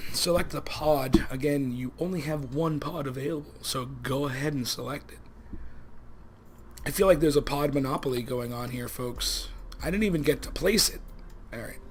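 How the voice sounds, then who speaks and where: A man mumbles at a moderate pace, his loudness swinging widely. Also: fairly high pitch for a man, ordinary pitch variation. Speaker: let's play gaming youtuber. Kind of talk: casual gameplay commentary. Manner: mumbling.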